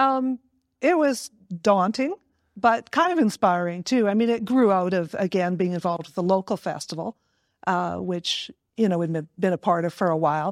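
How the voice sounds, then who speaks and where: On a very clean recording with a silent background, a woman with a Canadian accent speaks at a moderate pace in a normal speaking voice of medium pitch. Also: lively intonation. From northern British Columbia, Canada. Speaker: arts council organizer. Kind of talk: casual interview.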